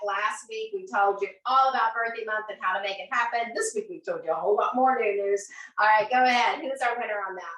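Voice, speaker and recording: A woman with an American accent speaks in a raised, projected voice. Her tone is bright and sharp. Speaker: sales team leader hosting weekly training show. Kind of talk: live webcast, motivational sales meeting. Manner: animated, enthusiastic.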